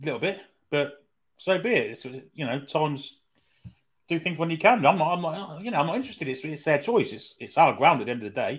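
A man's fairly high voice at a fairly quick pace, with lively intonation and long, frequent pauses. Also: big swings in loudness. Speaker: football pundit. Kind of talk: casual chat. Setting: live online stream.

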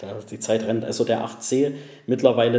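This man talks at a medium pitch. His intonation is monotone and flat. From Saxony, Germany (between Chemnitz and Zwickau). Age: 30s. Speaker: Italian car enthusiast. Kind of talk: casual interview.

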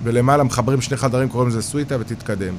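A man talks at a medium pitch. Noticeable background noise sits behind him. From Israel, Haifa bay suburbs (Krayot). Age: 40s. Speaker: real estate developer. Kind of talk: interview.

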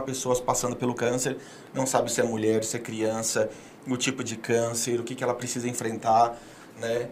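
Speaking at a moderate speed, a man is heard in a room with audible echo. Noticeable noise also fills the background. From southern Brazil (Paraná, Rio Grande do Sul, Santa Catarina). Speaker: public speaker and philanthropist. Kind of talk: casual interview.

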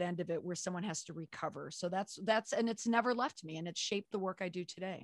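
Captured on a very clean recording with a silent background, a woman with a plain, everyday voice speaks at medium pitch with ordinary pitch variation. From US Midwest, Twin Cities (Minnesota). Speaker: crisis communications consultant and author. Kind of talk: interview.

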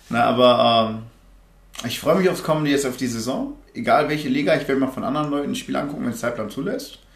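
Audible room echo surrounds a man's fairly high voice. He talks at a fairly quick pace with lively intonation. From Germany, Remscheid (Bergisches Land). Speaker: American football player. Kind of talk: casual chat.

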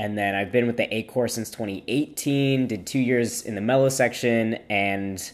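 The man talks at a fairly slow pace with ordinary pitch variation and a normal speaking voice. The recording is very clean, with a silent background. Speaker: drum major and band instructor, podcast co-host. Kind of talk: casual chat.

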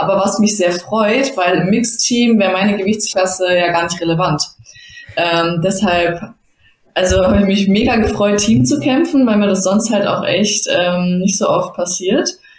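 A woman's medium-pitched voice at a moderate pace, with very even loudness, ordinary pitch variation and noticeable background noise. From Germany, Bottrop (Ruhr area). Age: 20s. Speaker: judoka and master's student. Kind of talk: casual interview.

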